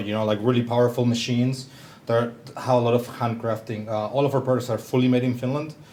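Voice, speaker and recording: In a Spanish accent, the speaker talks at a fairly quick pace with monotone, flat intonation. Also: man. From southern Chile. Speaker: company founder, bassist. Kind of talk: presentation talk.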